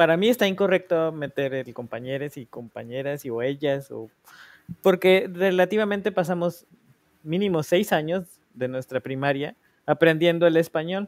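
Here a man speaks in a fairly high voice at a moderate pace, with ordinary pitch variation. His loudness swings widely. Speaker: podcast co-host. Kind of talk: casual chat.

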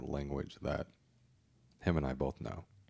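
This man's voice has a very deep, low pitch. Its tone is dark and mellow, and there is vocal fry. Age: 30s. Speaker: podcast host. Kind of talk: casual interview chat.

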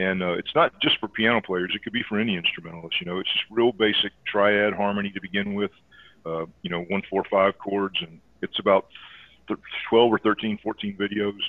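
Speaking with an American accent, a man in an unremarkable speaking voice keeps a fairly quick pace and fairly even intonation. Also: fairly low pitch for a man. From US South, Georgia (Air Force bases). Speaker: jazz pianist and teacher. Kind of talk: casual interview.

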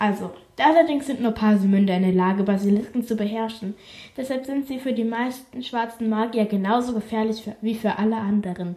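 Speaking at a fairly quick pace, a woman with a fairly high pitch sounds somewhat breathy and shows ordinary pitch variation. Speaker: podcast host. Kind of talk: reading aloud. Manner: casual, chatty asides.

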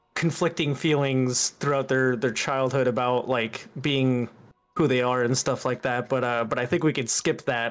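Music plays in the background as a man with an American accent speaks at a medium pitch and a moderate pace. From US South (Bible Belt). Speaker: political streamer. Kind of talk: casual interview chat. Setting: online call. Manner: halting, many fillers.

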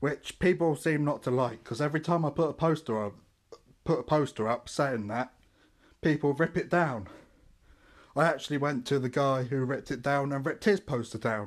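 A man with a southern English accent talks at a fairly quick pace. His pitch is fairly high, and the background is quiet. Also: ordinary pitch variation. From Portsmouth, southern England. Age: 20s. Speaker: podcaster. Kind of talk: casual monologue. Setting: at family home in Deptford. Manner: halting.

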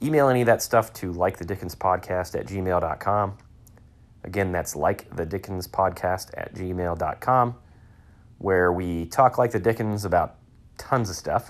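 A man's very deep, low voice with a Midwestern American accent, a fairly slow pace, and ordinary pitch variation. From Northeast Ohio. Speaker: podcast host. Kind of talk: casual monologue. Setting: home man cave. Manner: casual, filler-heavy.

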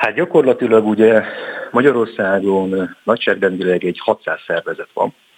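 A plain, everyday voice from a man at medium pitch, at a moderate pace with ordinary pitch variation, dry and close with no echo. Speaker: member of parliament. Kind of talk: radio interview. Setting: phone call.

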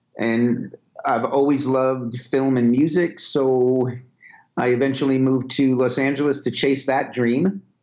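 A man with a New York accent speaks at a fairly slow pace at a medium pitch, with fairly even intonation and very even loudness. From Brooklyn, New York. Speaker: music video director. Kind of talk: interview.

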